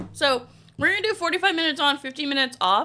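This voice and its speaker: A raised, projected voice over music in the background. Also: woman. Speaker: streamer. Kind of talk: casual chat. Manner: animated.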